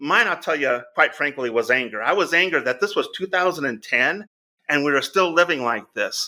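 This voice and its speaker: A man speaks at a moderate pace with lively intonation. His fairly high voice has a bright, sharp tone. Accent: American. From Southern California. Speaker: charity founder, former real estate agent. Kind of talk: interview conversation.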